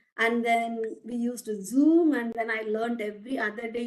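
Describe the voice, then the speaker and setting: Heard with audible room echo, a woman speaks in a high pitch with a Tamil accent. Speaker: academic researcher, guest speaker. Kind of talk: lecture. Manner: halting, frequent restarts.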